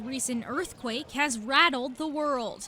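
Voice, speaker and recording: A woman talks in a raised, projected voice at a high pitch, with ordinary pitch variation. Her pace is fairly slow, and background noise is noticeable. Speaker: TV news reporter. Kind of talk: TV news report.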